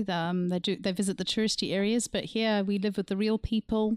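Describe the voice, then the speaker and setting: On a very clean recording with a silent background and a dry, close sound with no echo, a woman of medium pitch talks at a fairly quick pace with fairly even intonation and a slight Zimbabwean accent. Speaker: artist. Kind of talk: casual chat.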